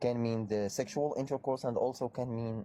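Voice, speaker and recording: A man with an Arabic accent, medium pitch, dark, mellow tone and fairly quick pace. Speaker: debater on Islam. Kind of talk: heated debate.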